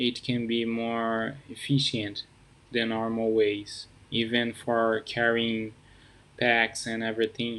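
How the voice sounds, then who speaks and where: Speaking with a non-native accent, a man at a medium pitch goes at a very slow pace in a monotone, flat intonation. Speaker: app founder. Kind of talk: casual project introduction to camera.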